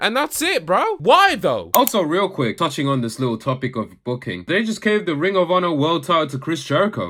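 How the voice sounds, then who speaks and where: Bright and sharp in tone, a man's high voice races at a fairly quick pace with hardly any pauses and very wide pitch swings. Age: young. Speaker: wrestling commentator YouTuber. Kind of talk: casual video commentary. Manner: animated.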